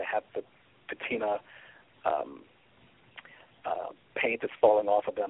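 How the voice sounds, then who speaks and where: A man speaks with an American accent. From US Midwest, Kansas City, Missouri. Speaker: singer, photographer and author. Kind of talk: interview. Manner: hesitant with fillers.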